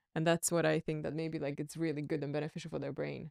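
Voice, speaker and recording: With a monotone, flat intonation, a woman speaks at a very deep, low pitch against a quiet background, in dry sound with no echo. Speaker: podcast co-host. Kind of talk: interview. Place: gym. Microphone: studio mic.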